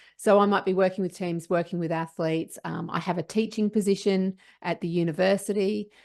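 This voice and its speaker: Fairly low in pitch, this woman speaks at a fairly quick pace with fairly even intonation. The background is quiet. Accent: Australian. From Australia. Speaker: sports psychologist. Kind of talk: interview.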